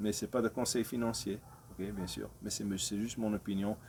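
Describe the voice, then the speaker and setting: With a non-native accent, this voice has a dark, mellow tone and fairly even intonation. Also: man. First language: not French (speaking French). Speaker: crypto video creator. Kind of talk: casual investment talk to camera. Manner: halting, many hesitations.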